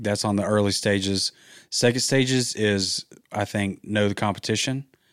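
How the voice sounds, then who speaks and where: A man with a Southern US accent speaks in a fairly low pitch with fairly even intonation on a very clean recording with a silent background. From Georgia, US South. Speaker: real estate investor and realtor. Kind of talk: casual chat.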